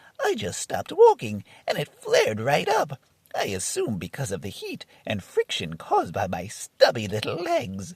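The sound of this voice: A man performs a cartoonish character voice. His loudness swings widely. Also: moderate pace, dry, close sound with no echo.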